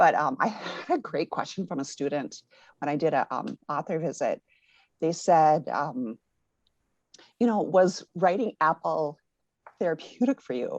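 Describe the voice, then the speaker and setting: A woman's fairly low, fairly slow speech with an American accent, lively intonation, long, frequent pauses and a dry, close sound with no echo. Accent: Minnesota accent, comes out a lot. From Minnesota, US. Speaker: author and education professor. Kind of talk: interview. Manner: halting, many fillers.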